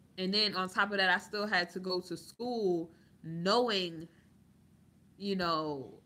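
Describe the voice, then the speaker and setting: A woman speaks loudly at a medium pitch with fairly even intonation. Her pace is very slow, broken by long, frequent pauses. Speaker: YouTube commentator. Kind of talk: livestream chat.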